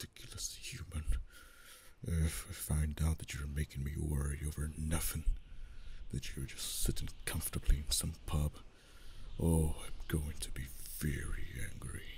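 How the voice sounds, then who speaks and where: In a put-on character voice, a man with a very deep, low pitch talks at a moderate pace, leaving long, frequent pauses. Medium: audio drama. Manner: haughty, imperious.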